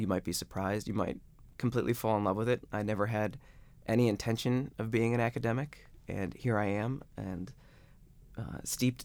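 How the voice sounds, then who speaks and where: An unremarkable speaking voice from a man with an American accent, fairly low in pitch, with ordinary pitch variation and a moderate pace. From Ohio (Akron), US Midwest. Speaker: sociologist and researcher. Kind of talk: interview. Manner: casual with frequent fillers.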